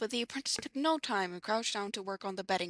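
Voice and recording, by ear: Someone reads aloud. It is in a natural voice.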